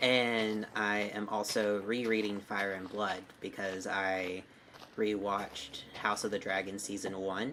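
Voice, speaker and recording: A man with an American accent speaks in a fairly low pitch and a monotone, flat intonation. Noticeable background noise can be heard. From US South, Alabama. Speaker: streamer. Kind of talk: casual chat. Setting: live stream.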